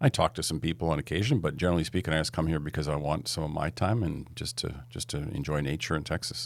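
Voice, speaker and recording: A man with a very deep, low pitch and vocal fry, at a very fast pace with hardly any pauses and lively intonation, on a very clean recording with a silent background. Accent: Canadian. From western Canada (Edmonton, Alberta). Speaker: entrepreneur and investor. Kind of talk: podcast interview.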